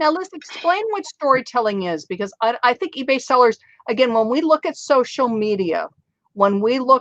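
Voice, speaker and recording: A woman speaks with a high pitch and very wide pitch swings. The sound is dry and close, with no echo. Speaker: online selling channel host. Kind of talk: interview. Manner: excited.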